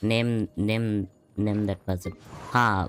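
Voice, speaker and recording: Very slow, monotone, flat speech from a man, with music in the background. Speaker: gaming streamer. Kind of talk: casual livestream commentary.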